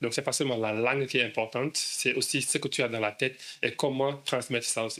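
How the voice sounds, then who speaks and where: A man speaks fairly quickly at a medium pitch, his tone bright and sharp and his intonation monotone and flat. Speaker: English school founder. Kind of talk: interview. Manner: stammering.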